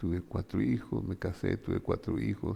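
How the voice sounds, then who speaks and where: A man speaks in a dark, mellow tone. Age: 70s. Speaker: pastor. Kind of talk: sermon.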